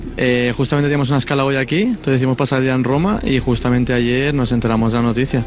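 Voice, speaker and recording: Very fast, nearly pause-free speech at a very even volume, with fairly level intonation over noticeable background noise. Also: man, medium pitch for a man. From Valencia, Spain. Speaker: tourist. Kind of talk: street interview.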